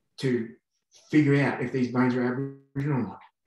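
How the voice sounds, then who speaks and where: Over a quiet background with audible room echo, a man with an Australian accent speaks in a somewhat breathy voice. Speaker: archaeologist; conference panelist. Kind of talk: conference Q&A comment. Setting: video call. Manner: halting. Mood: earnest, somewhat frustrated. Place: home room. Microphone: video call.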